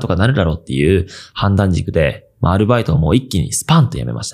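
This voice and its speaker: Speaking at a very fast pace, a man with a fairly low voice makes very wide pitch swings. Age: 20s. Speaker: video creator and podcast host. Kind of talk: casual solo podcast talk. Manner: casual, with many fillers.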